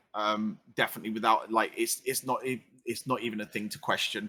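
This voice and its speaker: With a slight London accent, a man speaks in a bright, sharp tone. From London, England (council estate). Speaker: streamer. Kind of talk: casual chat. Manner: loud.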